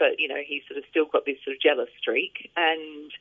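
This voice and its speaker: A woman speaks with a very deep, low pitch and ordinary pitch variation. Her pace is moderate. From England and Australia. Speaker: novelist. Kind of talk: interview.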